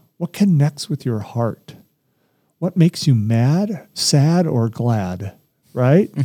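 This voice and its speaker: With an American accent, a man speaks very slowly at medium pitch, somewhat breathy and dark, mellow in tone, his intonation lively, the sound dry and close with no echo. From Colorado (Littleton), after early years in Southern California. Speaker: credit union CEO, former basketball player. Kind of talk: interview. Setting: studio.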